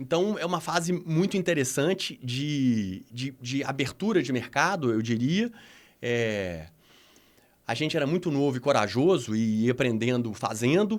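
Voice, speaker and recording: On a very clean recording with a silent background, a man speaks fairly slowly at a fairly high pitch, his voice moving through very wide pitch swings. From Minas Gerais, Brazil. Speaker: adventure tourism executive. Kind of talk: podcast interview. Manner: halting, many false starts.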